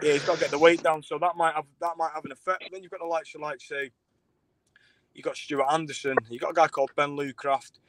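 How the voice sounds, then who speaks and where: A man in a Manchester accent at a very fast pace, fairly even in intonation yet with big swings in loudness, in a dry, close sound with no echo. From Manchester, England. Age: 30s. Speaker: fight show promoter and former fighter. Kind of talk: casual interview. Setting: live stream. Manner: halting, repetitive fillers.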